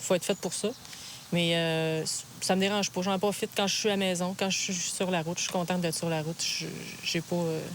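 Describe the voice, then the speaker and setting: A woman speaks at a fairly quick pace and fairly low pitch, in a monotone, flat intonation. Long, frequent pauses break up her speech, and background noise is noticeable. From Quebec, Lac-Saint-Jean then Quebec City. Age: 30s. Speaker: truck driver. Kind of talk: documentary interview.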